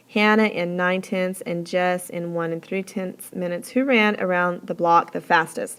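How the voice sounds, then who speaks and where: A woman has an unremarkable speaking voice. She talks at a moderate pace with hardly any pauses. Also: medium pitch for a woman, fairly even intonation. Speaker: teacher. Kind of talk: tutorial.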